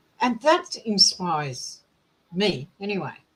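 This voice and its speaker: In a somewhat breathy voice, a woman talks at a very slow pace. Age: 60s. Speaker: book discussion group member. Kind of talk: group discussion.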